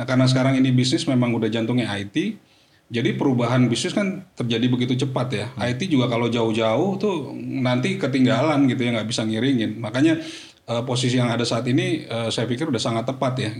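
Delivered at a very fast pace with ordinary pitch variation, the speech carries noticeable background noise and audible room echo. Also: man, medium pitch for a man. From Jakarta, Indonesia. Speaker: corporate IT manager. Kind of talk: podcast interview.

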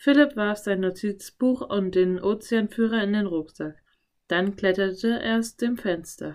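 Quiet background behind an unforced reading voice

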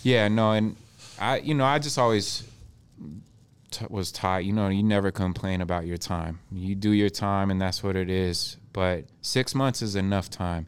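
Here a man with an ordinary speaking voice and an American accent talks at a moderate pace. His fairly low pitch shows ordinary variation, and the recording is very clean with a silent background. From US Northwest (Spokane area, Washington). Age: 30s. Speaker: clothing line founder. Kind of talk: casual chat. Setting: studio.

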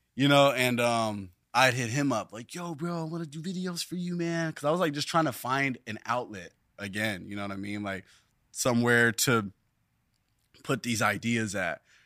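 This man's bright, sharp tone sits at medium pitch, moving at a moderate pace with lively intonation over a very clean recording with a silent background. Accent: American. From Southern California (Long Beach/Carson). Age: 20s. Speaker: musician and surfer. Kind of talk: interview. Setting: studio with camera.

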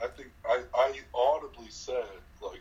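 At a moderate pace, the voice has a slightly mellow tone and ordinary pitch variation. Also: man, medium pitch for a man.

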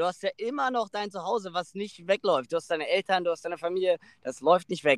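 A man's high-pitched voice with ordinary pitch variation, in a dry, close sound with no echo. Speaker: podcast co-host. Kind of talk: casual chat. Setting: outdoors on a beach.

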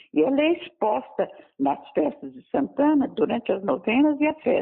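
A woman speaks at a moderate pace with a high-pitched voice. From Brazil, Goiás (Anápolis). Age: 80s+. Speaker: local historian and author. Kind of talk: phone interview. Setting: phone call.

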